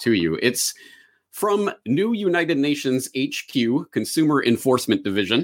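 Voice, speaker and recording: Vocal fry and very wide swings in pitch in a man's voice. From Canada. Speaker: independent journalist, documentary maker. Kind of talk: online conference talk.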